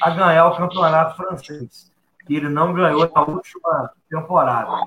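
A man is talking here, his intonation fairly even. His voice sits at a high pitch. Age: 30s. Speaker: lawyer and football commentator. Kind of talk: sports debate show.

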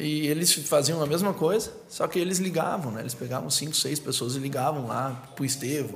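A man with fairly high pitch at a moderate pace, ordinary pitch variation, and noticeable background noise. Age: 30s. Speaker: entrepreneur. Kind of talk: casual chat.

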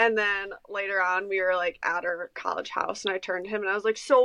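A woman speaks at a moderate pace in a medium pitch, her tone bright and sharp. The sound is dry and close, with no echo. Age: 20s. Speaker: podcast co-host and farmer. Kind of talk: casual chat.

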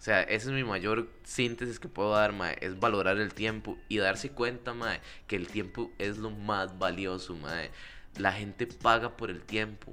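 A man speaks fairly slowly in a fairly low, bright, sharp voice with ordinary pitch variation. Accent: Costa Rican. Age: 20s. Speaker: comedy podcast co-host. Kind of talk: casual chat.

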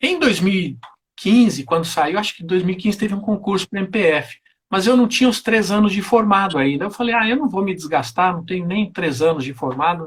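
Speaking with a high pitch, a man keeps a moderate pace and hardly pauses at all. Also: lively intonation. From southern Brazil, Porto Alegre. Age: 40s. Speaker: federal prosecutor, former tax auditor. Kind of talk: interview on live stream.

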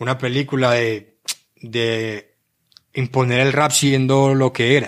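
Spoken with a Medellín Colombian accent and fairly even intonation. The recording is very clean, with a silent background. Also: man. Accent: Colombian paisa (Medellín) Spanish. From Colombia, Medellín (Aranjuez). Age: 30s. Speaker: rapper. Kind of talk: interview. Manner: casual, with hesitations and slang.

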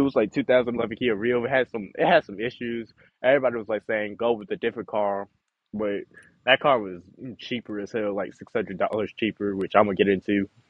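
Medium in pitch, a man talks at a fairly quick pace. His pitch varies in an ordinary way. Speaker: podcast host. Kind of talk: casual, profane slang. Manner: fast talker.

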